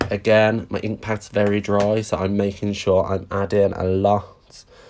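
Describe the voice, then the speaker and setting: Against a quiet background, a man speaks at a fairly slow pace in a fairly low voice. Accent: Brummie. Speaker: craft demonstrator. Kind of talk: live craft tutorial. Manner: chatty, animated.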